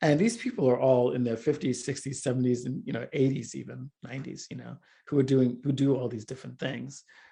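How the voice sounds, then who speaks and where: Against a quiet background, a man with a medium pitch and dark, mellow tone speaks at a fairly quick pace, with vocal fry and big swings in loudness. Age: 60s. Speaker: filmmaker and multimedia artist. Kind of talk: interview conversation.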